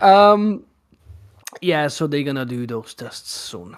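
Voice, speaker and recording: Speaking at a very slow pace, a man with fairly high pitch makes very wide pitch swings. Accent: Hungarian. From Hungary. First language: Hungarian. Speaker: live stream host. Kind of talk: casual chat.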